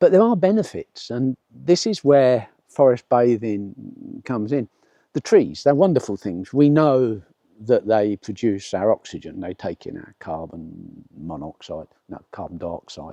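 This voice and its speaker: This man with a southern English accent speaks at medium pitch and a fairly slow pace in a dark, mellow tone with very wide pitch swings, the sound dry and close with no echo. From southeast England. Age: 70s. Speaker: nature vlogger. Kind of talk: casual vlog monologue. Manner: halting, with repeated words and fillers.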